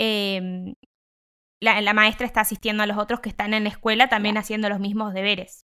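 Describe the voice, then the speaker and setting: This woman talks fairly quickly in a fairly high, bright and sharp voice. Her intonation stays flat and monotone. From Bolívar, Buenos Aires province, Argentina. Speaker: educational psychologist and teaching student. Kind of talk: casual chat.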